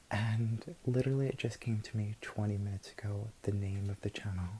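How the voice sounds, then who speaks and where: Soft-spoken, the speaker talks at a moderate pace. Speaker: ASMR creator. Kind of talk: ASMR whisper / soft-spoken talk to camera.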